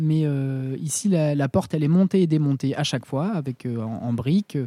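This man has a fairly high pitch and a dark, mellow tone. His pitch varies in an ordinary way. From southern France. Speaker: ceramicist at a ceramics centre. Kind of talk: casual interview. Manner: halting, many repetitions and fillers.

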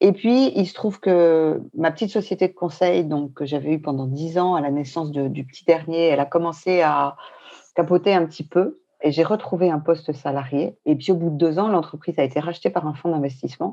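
A woman's fairly low, dark and mellow voice with ordinary pitch variation at a fairly quick pace, over a quiet background. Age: 50s. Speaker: traveler. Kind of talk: casual chat.

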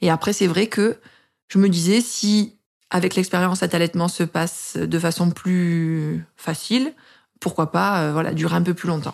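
A woman speaks in an unremarkable speaking voice, fairly low in pitch and fairly slow. Her intonation stays fairly even on a very clean recording with a silent background. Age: 30s. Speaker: mother sharing breastfeeding story. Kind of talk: personal testimony.

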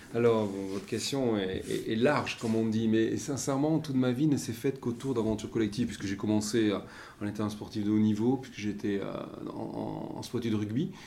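Against noticeable background noise and audible room echo, a man speaks at a fairly quick pace. His pitch is medium, with ordinary variation. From French Basque Country. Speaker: maritime pilot. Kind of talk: interview. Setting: room overlooking the port.

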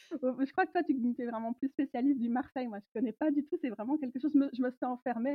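Talking at a very fast pace, a woman with a high pitch uses ordinary pitch variation. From Belgium, countryside. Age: 30s. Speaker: tarot reader and feminist historian. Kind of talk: interview.

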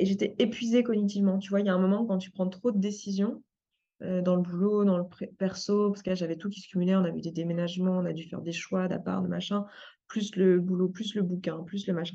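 At a fairly quick pace, a woman of medium pitch speaks in a monotone, flat intonation, somewhat breathy, with a dark, mellow tone. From France. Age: 30s. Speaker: life coach and entrepreneur. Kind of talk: interview. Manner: casual, many fillers.

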